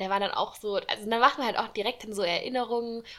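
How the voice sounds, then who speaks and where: A woman speaks very fast. Her intonation is flat and monotone. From Saarland region, Germany. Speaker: student podcast host. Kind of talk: casual chat.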